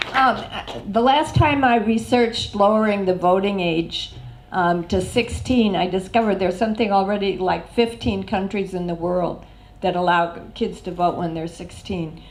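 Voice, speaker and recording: Speaking with an American accent, a woman talks at a moderate pace and medium pitch with ordinary pitch variation, amid audible room echo. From United States. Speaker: election candidate. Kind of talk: panel debate.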